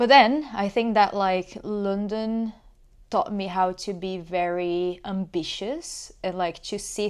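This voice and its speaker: A woman's medium-pitched voice with a Portuguese accent and fairly even intonation, on a very clean recording with a silent background. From Brazil. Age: 30s. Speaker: podcast guest. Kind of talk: casual interview.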